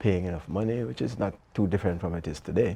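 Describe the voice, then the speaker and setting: A man's very deep, low voice with a dark, mellow tone, fairly quick in pace, with ordinary pitch variation. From Jamaica, Manchester parish and Kingston. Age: 70s. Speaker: author and retired business executive. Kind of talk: interview.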